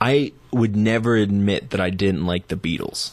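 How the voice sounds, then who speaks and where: A man with a plain, everyday voice, fairly low in pitch, at a fairly slow pace with ordinary pitch variation, on a very clean recording with a silent background. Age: 30s. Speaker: musician and writer. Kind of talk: casual chat. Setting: studio.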